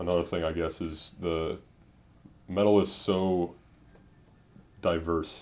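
This man's pitch is very deep and low, his intonation monotone and flat. He speaks at a very slow pace. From US Midwest, suburban Detroit. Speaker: college radio DJ, podcast co-host. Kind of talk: casual chat. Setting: apartment bedroom.

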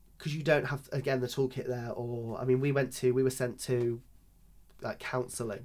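With a Lincolnshire accent, a man speaks at a moderate pace and medium pitch. His intonation is fairly even. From rural Lincolnshire, England. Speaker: drag performer. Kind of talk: interview conversation.

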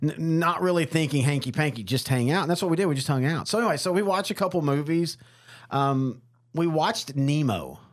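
A man talks at a fairly high pitch with ordinary pitch variation and very even loudness. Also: fairly quick pace, very clean recording, silent background. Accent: Texan. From Texas, small town. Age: 40s. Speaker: podcast host. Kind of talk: casual chat.

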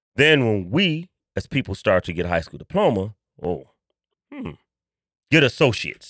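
With an American accent, a man speaks with vocal fry, very wide pitch swings, big swings in loudness and long, frequent pauses. The sound is dry and close with no echo, on a very clean recording with a silent background. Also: medium pitch for a man, moderate pace. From Chicago, West Side (Austin area). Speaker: history museum founder. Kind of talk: casual interview.

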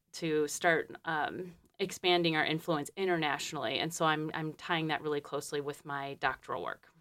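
A woman in a Michigan accent, fairly low in pitch, at a moderate pace with fairly even intonation, in a very clean recording with a silent background. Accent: Midwestern American (Michigan). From Detroit, Michigan. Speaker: forestry doctoral student and program lead. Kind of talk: interview. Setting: radio studio. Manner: hesitant, many ums.

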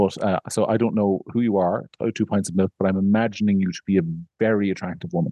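A man with an Irish accent speaks at a fairly quick pace in a fairly low pitch. His tone is dark and mellow, and the sound is dry and close with no echo. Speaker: podcast host, media editor. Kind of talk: casual chat.

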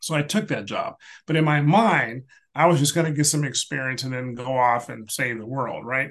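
A man with an ordinary speaking voice talks at a fairly high pitch. His pitch varies in an ordinary way. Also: moderate pace. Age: 60s. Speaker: retired space agency leader. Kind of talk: casual interview.

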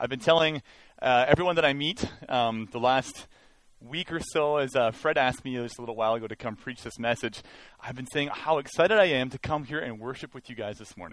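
A plain, everyday voice at a fairly quick pace, with big swings in loudness and ordinary pitch variation. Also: man, medium pitch for a man. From Canada, Mission, British Columbia. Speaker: guest preacher. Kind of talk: sermon. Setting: church.

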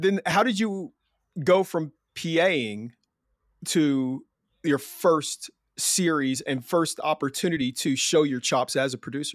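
Lively intonation marks this man's fairly high-pitched voice, at a fairly slow pace with long, frequent pauses. The recording is very clean, with a silent background. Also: dry, close sound with no echo. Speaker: screenwriter and podcast co-host. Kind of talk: casual chat.

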